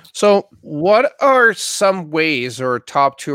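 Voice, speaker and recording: A man speaks with a bright, sharp tone and very wide pitch swings. The sound is dry and close, with no echo. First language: not English. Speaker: podcast host. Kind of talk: interview. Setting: video call.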